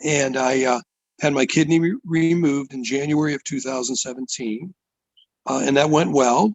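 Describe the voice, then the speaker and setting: In an ordinary speaking voice, a man with an American accent talks at a moderate pace, his fairly high pitch showing ordinary variation. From US, Pittsburgh, Pennsylvania. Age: 60s. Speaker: musician. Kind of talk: interview testimony.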